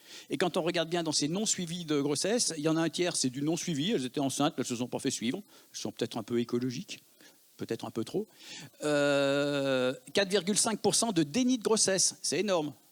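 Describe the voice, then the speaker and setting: A man with a Lyon accent, fairly high-pitched, fairly quick and with lively intonation, on a very clean recording with a silent background. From Lyon, France. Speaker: emergency physician. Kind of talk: conference talk.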